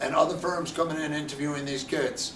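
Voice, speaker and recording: There is audible room echo and noticeable background noise as a man talks at a moderate pace in a fairly high pitch. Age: 60s. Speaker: college lacrosse head coach. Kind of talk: interview.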